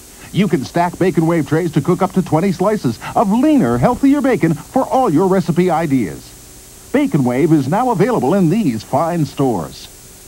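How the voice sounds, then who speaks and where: Behind noticeable background noise, a man's high-pitched voice makes very wide pitch swings while keeping very even loudness. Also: hardly any pauses. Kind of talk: TV commercial read.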